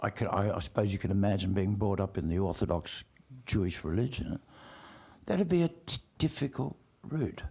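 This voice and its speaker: A man talks in a dark, mellow tone with a fairly low pitch. His pace is moderate and his intonation lively. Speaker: performer of songs and poetry. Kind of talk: podcast interview.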